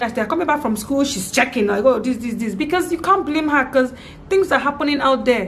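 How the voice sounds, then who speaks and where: A woman with a Nigerian accent talks very fast at a high pitch with lively intonation, over noticeable background noise. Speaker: vlogger, parent. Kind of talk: personal vlog testimony. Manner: halting, repeats words.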